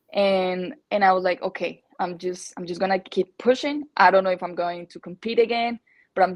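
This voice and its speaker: Against a quiet background, a woman with a Spanish accent speaks at a medium pitch with fairly even intonation. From Colombia. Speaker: natural bikini bodybuilding athlete. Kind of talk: podcast interview. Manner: halting, many fillers and repetitions.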